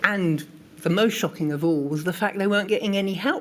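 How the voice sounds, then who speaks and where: A woman's ordinary speaking voice, with ordinary pitch variation. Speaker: patient advocacy group co-founder. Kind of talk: testimony at a public inquiry.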